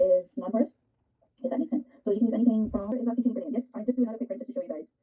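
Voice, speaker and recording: Speaking at a very fast pace, a woman with a Pakistani accent has a high pitch and ordinary pitch variation. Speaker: art teacher. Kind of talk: live online art workshop. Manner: animated.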